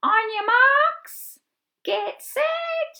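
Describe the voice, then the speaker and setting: This is a put-on character voice, loud and squeaky. It comes across at high volume with a squeaky edge. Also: woman, extremely high pitch for a woman. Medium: read story. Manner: boastful, loud, sneering.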